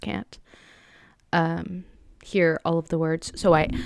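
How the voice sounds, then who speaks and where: The voice is soft-spoken. The recording is very clean with a silent background, and the sound is dry and close with no echo. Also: woman. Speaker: vlogger. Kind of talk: personal monologue; casual chat. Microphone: good microphone with pop filter.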